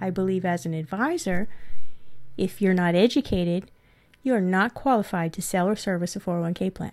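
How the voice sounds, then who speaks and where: A woman at a medium pitch and moderate pace, in a very clean recording with a silent background. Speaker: podcast host and 401k practice coach. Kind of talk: recorded course lesson. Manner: animated when telling her story.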